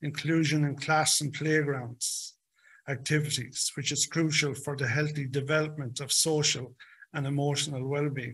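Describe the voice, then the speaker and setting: Speaking with an Irish accent, a man keeps a fairly high pitch and a moderate pace in monotone, flat intonation. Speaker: stuttering advocacy co-founder. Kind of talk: prepared speech.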